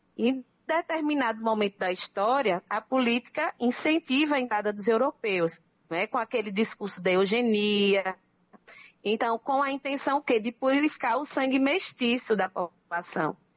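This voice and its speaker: A woman with a fairly high pitch, lively intonation and a moderate pace. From Brazil, Northeast (Pernambuco). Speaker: anthropologist. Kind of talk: radio interview.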